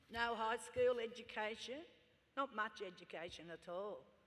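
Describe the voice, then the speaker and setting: A woman with an Australian accent talks at a moderate pace, her fairly high pitch moving with ordinary variation. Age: 70s. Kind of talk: acceptance speech. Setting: stage with audience at graduation ceremony.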